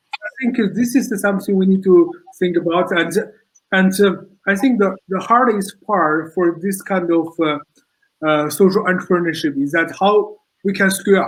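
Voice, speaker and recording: A man with a non-native accent speaks at a high pitch and a moderate pace, with ordinary pitch variation. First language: not English. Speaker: social entrepreneur. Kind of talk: panel discussion. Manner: halting.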